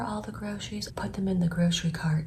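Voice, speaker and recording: A woman talks quietly at a fairly quick pace and a fairly low pitch. There is noticeable background noise and audible room echo. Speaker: vlogger, aspiring public speaker. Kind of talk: personal testimony vlog. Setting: at home early morning.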